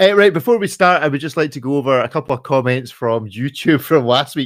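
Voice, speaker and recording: The recording is very clean, with a silent background. A man talks at a very fast pace in a fairly high pitch with lively intonation. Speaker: watch podcast host. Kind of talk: casual chat.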